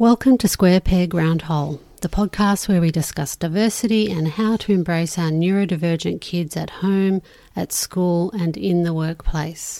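On a very clean recording with a silent background, a woman speaks in an Australian accent with a dark, mellow tone. Her pitch is fairly low, her pitch variation ordinary, and her pace moderate. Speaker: podcast host. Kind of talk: interview.

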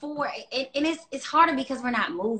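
A woman speaks in a raised, projected voice, high-pitched with a bright, sharp tone and ordinary pitch variation. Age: 30s. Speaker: fitness business owner. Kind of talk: casual interview chat.

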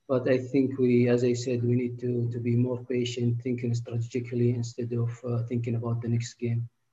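A man with an Arabic accent speaks fairly quickly at a medium pitch. His tone is dark, mellow and somewhat breathy, with flat, monotone intonation. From Saudi Arabia. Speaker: football development manager. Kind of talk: interview. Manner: halting, frequent repetitions.

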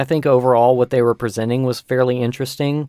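A man with an ordinary speaking voice, medium pitch, fairly even intonation and a fairly quick pace, in a dry, close sound with no echo. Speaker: podcast host. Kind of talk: casual chat.

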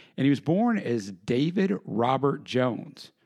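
A man's plain, everyday voice, fairly high in pitch with lively intonation, over a quiet background. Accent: American. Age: 40s. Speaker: podcast host. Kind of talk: solo podcast narration.

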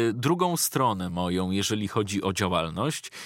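A man's pitch swings very widely at a moderate pace, recorded very cleanly against a silent background with a dry, close, echo-free sound. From Poland, Ostrołęka area. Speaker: voice-over artist and YouTuber. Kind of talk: casual interview chat.

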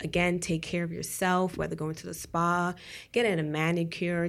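This woman has a plain, everyday voice, pitched fairly low and moving at a moderate pace. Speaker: podcast co-host. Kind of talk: casual chat.

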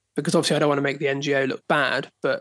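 Talking at a very fast pace, this man rushes along. He speaks with a southern English accent. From southern England, Dorset. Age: 30s. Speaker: photographer. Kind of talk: casual chat.

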